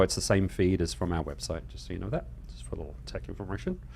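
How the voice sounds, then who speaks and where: The voice has vocal fry. It moves at a fairly quick pace. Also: man. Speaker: Bible Q&A show host. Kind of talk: live show announcements. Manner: fast.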